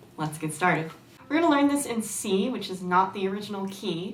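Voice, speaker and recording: Through audible room echo and noticeable background noise, a woman speaks at medium pitch. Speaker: ukulele teacher. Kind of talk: tutorial.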